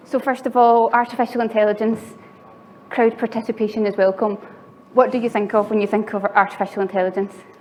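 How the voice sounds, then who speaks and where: A woman's fairly high voice in a Glaswegian accent, very fast and monotone with flat intonation. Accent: Glaswegian Scottish. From Scotland, Glasgow. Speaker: software engineer and conference speaker. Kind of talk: conference talk. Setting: stage with audience.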